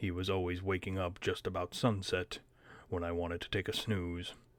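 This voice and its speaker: In a very clean recording with a silent background, a man does a put-on character voice with a very deep, low pitch at a moderate pace. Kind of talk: read-aloud audiobook narration. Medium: read story.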